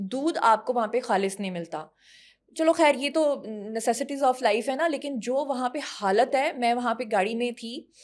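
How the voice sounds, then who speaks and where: Animated in tone, a woman speaks at a moderate pace in a high voice with ordinary pitch variation. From Punjab, Pakistan. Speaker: actress and model. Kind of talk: casual interview chat.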